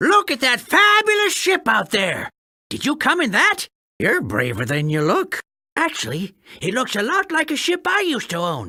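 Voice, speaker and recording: High pitch and a moderate pace in a put-on character voice. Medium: machinima. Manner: sarcastic, rambling.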